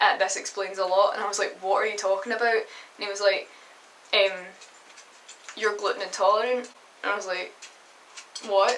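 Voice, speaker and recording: A woman talks at a fairly quick pace with a Glasgow accent, leaving long, frequent pauses. Her medium-pitched delivery is monotone and flat, with noticeable background noise behind it. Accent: Scottish (Glasgow). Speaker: vlogger. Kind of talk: personal testimony vlog. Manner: hesitant, many fillers.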